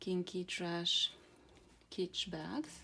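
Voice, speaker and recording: This woman speaks with a Slavic accent at a fairly low pitch. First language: Croatian. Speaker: card reader, channel owner. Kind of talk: casual tarot-style card reading to camera. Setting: outdoors in a garden. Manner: hesitant, many fillers.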